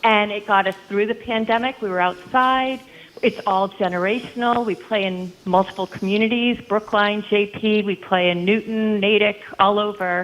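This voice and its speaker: A woman with an ordinary speaking voice talks at a moderate pace, with hardly any pauses. Her pitch is medium and her intonation fairly even. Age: 60s. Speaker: caller. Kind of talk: call-in chat.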